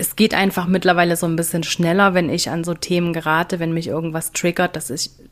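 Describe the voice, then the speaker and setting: A woman with an unremarkable speaking voice and a fairly low pitch talks at a fairly quick pace. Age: 30s. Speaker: business coach. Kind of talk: casual chat.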